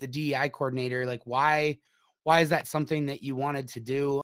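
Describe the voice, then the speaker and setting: A man with an American accent, an ordinary speaking voice, fairly high pitch and a fairly quick pace, on a very clean recording with a silent background. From Minnesota. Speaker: podcast host and company CEO. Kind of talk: interview podcast.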